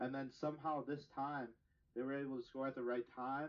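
A man with a plain, everyday voice, medium pitch and fairly quick pace. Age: 20s. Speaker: hockey podcast co-host. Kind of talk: casual chat.

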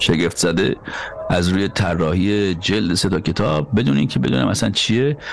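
Moderate pace and lively intonation against noticeable background noise. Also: man. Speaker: podcast host and journalist. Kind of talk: scripted narration; casual discussion.

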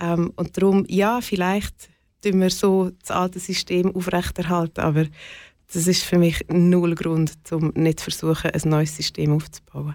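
On a very clean recording with a silent background, a woman with a fairly low pitch speaks fairly slowly in a flat monotone. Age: 40s. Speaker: community co-founder. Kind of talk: interview.

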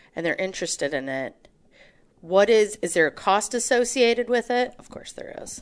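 An animated woman's fairly high voice with vocal fry, very wide pitch swings and a moderate pace. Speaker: podcast host. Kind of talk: casual chat.

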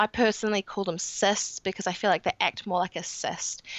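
A woman speaks with a New Zealand accent. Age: 20s. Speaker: guest with chronic illness. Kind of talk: casual interview.

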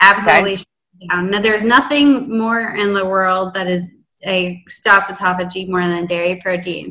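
Speaking in an unremarkable speaking voice, a woman keeps a medium pitch with ordinary pitch variation. Her pace is moderate, and her loudness swings widely. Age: 30s. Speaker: fasting coach. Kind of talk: casual interview.

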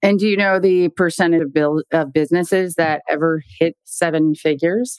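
Using an ordinary speaking voice, a woman speaks at a moderate pace and a fairly low pitch, with very even loudness, fairly even intonation and a dry, close sound with no echo. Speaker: podcast host. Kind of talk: interview conversation.

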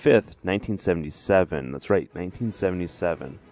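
A man with a very deep, low pitch and ordinary pitch variation. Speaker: radio host. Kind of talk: casual podcast intro and outro. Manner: casual, conversational, with fillers.

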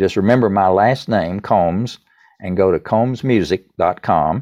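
A man speaks with a Southern US accent. He keeps a moderate pace with ordinary pitch variation. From US South, East Tennessee. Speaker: songwriter. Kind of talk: interview.

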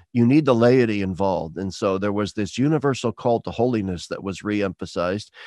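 A man with an American accent and a dark, mellow tone is heard in a dry, close sound with no echo over a quiet background. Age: 60s. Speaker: retired theology professor. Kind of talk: interview conversation.

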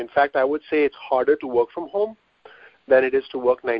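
A man talks in an Indian accent with fairly even intonation. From Mumbai, India. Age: 30s. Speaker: physical therapist and business owner. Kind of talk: casual interview.

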